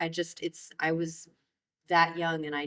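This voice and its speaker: With an American accent, a plain, everyday voice speaks at a moderate pace. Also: woman. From Maryland, DC area. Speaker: jazz flutist. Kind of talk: oral history interview. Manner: casual, filler-heavy.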